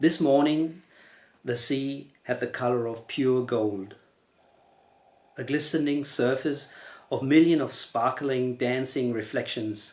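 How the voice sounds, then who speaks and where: With a German accent, a man at a medium pitch talks at a very slow pace, with long, frequent pauses. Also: fairly even intonation. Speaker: novelist. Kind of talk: reading aloud; casual chat. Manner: halting.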